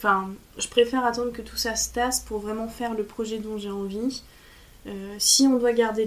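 A woman speaks at a moderate pace in a fairly high pitch. Her intonation stays flat and monotone. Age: 20s. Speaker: former student. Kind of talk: testimony. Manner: halting.

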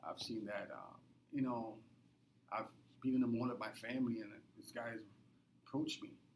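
Speaking at a fairly quick pace with long, frequent pauses, this voice keeps a fairly even intonation but swings widely in loudness, with audible room echo. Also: man, medium pitch for a man. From Trinidad and Tobago. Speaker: social worker. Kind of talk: interview.

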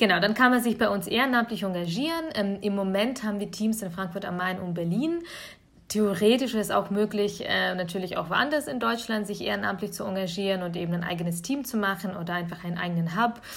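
A woman's normal speaking voice at medium pitch, with lively intonation and a fairly quick pace. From Bavaria (Augsburg), Germany; born in Kyiv, Ukraine. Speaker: nonprofit network representative. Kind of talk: podcast interview.

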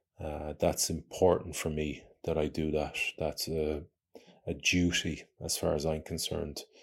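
Very deep and low in pitch, a man speaks at a fairly slow pace with monotone, flat intonation. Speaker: adventurer and podcast host. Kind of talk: casual monologue. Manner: halting, many fillers.

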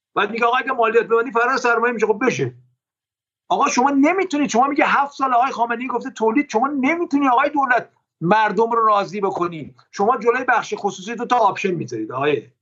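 Speaking at a very fast pace, a man with an extremely high pitch uses ordinary pitch variation. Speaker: economist. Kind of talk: interview.

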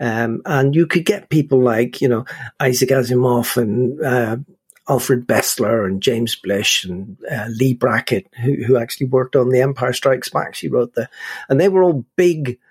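Speaking at a fairly slow pace with a Northern Irish accent, a man uses a medium pitch and ordinary pitch variation. The recording is dry and close, with no echo. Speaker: film podcast host. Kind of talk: casual chat. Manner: animated.

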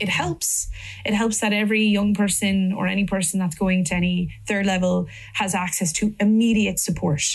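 A woman's medium-pitched, somewhat breathy voice in an Irish accent, monotone and flat, at very even loudness with audible room echo. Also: moderate pace. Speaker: politician. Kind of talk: panel discussion. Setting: stage with audience. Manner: halting.

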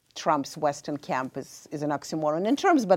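A woman speaks with a Russian accent at a moderate pace. Her pitch is fairly low. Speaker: professor of international affairs. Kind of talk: panel discussion.

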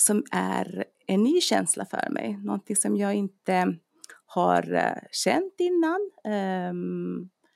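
A woman speaks at a very slow pace, recorded with a dry, close sound and no echo. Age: 40s. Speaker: dentist and personal trainer. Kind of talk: casual chat.

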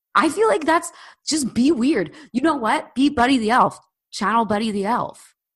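Loud and high-pitched, a woman with an American accent speaks at a moderate pace with lively intonation over a quiet background. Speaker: podcast host. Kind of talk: casual chat. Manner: loud, opinionated.

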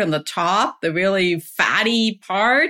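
A woman speaks at a very slow pace in a medium pitch, her bright, sharp tone showing ordinary pitch variation. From Germany. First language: German. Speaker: health coach and professor. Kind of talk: podcast interview. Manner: enthusiastic.

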